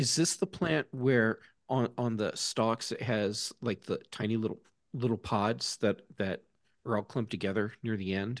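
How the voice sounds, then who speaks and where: A man with an American accent has a normal speaking voice at medium pitch. He talks at a moderate pace with ordinary pitch variation over a quiet background. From US South. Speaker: tech podcast host. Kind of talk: casual chat.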